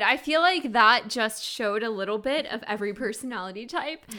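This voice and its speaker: Over noticeable background noise, a woman talks at a fairly quick pace with lively intonation. Her pitch is fairly high. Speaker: podcast co-host. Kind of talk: casual, chatty.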